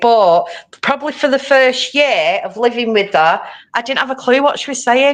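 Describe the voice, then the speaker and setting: A woman with a Manchester accent speaks at a moderate pace with ordinary pitch variation against a quiet background. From Manchester, England. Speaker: crafter and former teacher. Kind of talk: casual chat. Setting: live stream.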